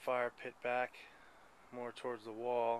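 Light noise sits behind a man as he talks. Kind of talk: casual vlog chat. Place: forest. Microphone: phone near.

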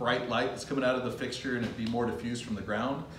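A man speaks against loud background noise, with audible room echo. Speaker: lighting sales representative. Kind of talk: product demonstration. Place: factory. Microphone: camera far.

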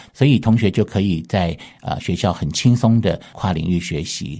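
Against a quiet background, a man with a very deep, low pitch speaks at a moderate pace in a dark, mellow tone with ordinary pitch variation. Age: 50s. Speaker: university art professor. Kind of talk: radio interview. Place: studio.

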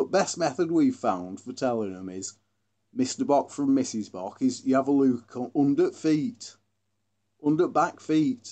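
A man speaks with a Derbyshire accent at a fairly high pitch. His voice swings very widely in pitch. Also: fairly slow pace. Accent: northern English, Glossop dialect. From Glossop, northern England. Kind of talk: casual educational talk.

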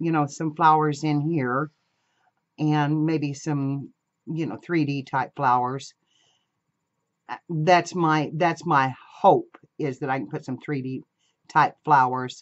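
Long, frequent pauses break up very slow speech over a quiet background. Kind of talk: casual craft tutorial chat. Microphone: camera far.

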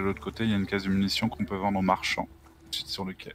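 Over noticeable background noise, a man with a fairly low voice speaks very fast, the sound dry with no echo. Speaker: gamer. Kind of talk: casual chat. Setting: video call. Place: home room.

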